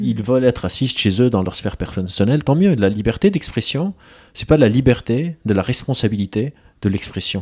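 Speaking at a moderate pace with lively intonation, a man of medium pitch has an unremarkable speaking voice. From Lebanon. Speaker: psychologist and author. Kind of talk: casual chat.

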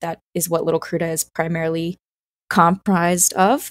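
A woman with an American accent at a fairly slow pace, in a dry, close sound with no echo. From US South, South Carolina. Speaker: cellist and orchestra music director. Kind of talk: interview conversation.

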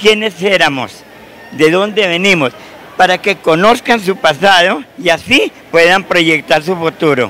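A high-pitched man speaks at a fairly slow pace in a raised, projected voice. The sound is dry with no echo, over light background noise. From Colombia, Cundinamarca. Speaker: folk dance director and retired teacher. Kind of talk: TV interview. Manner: halting, repeats words. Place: hall. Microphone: handheld.

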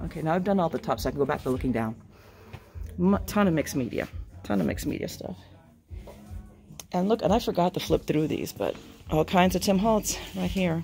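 Over faint background music, a woman talks at a moderate pace. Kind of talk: casual vlog chat. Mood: excited, delighted browsing. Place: shop. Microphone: phone near.

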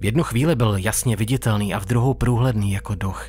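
A man talks at a moderate pace and a fairly low pitch, keeping his intonation fairly even. Music plays in the background.

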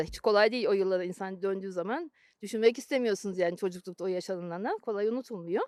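A woman with an unremarkable speaking voice at a medium pitch, recorded very cleanly against a silent background with a dry, close sound and no echo. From Turkey, youth partly in Germany. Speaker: former German translator. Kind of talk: interview.

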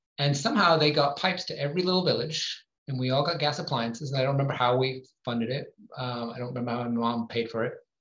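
Amid audible room echo, a man talks very fast in a fairly high voice. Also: ordinary pitch variation. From Northwest England. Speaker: climate policy advocate; guest. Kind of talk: panel Q&A; conference presentation. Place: home room. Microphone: video call.

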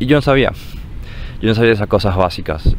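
A man with a fairly low pitch talks at a fairly quick pace. Noticeable background noise runs behind him. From Paraguay. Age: 20s. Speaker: university student, grandson. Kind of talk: personal recollection.

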